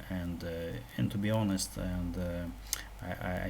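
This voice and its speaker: A man with a very deep, low pitch speaks at a fairly slow pace in a Russian accent, with audible room echo. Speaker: programming tutorial youtuber. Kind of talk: tutorial. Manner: halting, many fillers and repetitions.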